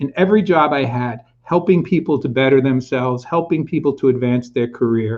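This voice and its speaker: A man's normal speaking voice, fairly high in pitch, with ordinary pitch variation and a moderate pace. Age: 60s. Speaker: career and executive coach. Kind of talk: interview.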